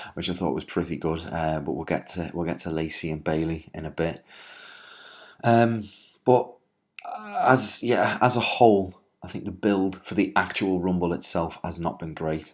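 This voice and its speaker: With a Liverpool accent, a man speaks in a very deep, low pitch with ordinary pitch variation, on a very clean recording with a silent background. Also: moderate pace. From Liverpool, England. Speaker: wrestling writer and commentator. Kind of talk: solo video commentary. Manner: hesitant, many filler words.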